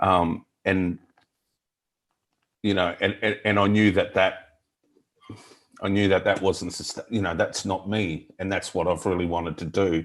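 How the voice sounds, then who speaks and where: A man's very deep, low voice, fairly slow and in a monotone, flat intonation, with long, frequent pauses. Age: 40s. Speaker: workshop participant. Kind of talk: personal sharing in group session. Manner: halting.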